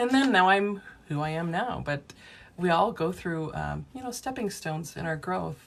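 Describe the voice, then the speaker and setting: Lively intonation from a woman in a plain, everyday voice, fairly low in pitch, at a moderate pace. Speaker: past life regression therapist. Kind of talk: livestream chat with viewers. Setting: live video stream from office.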